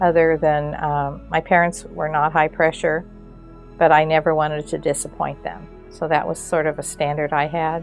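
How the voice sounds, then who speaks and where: A woman speaks at a fairly slow pace. Music plays in the background. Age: old. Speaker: retired educator. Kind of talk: interview answer.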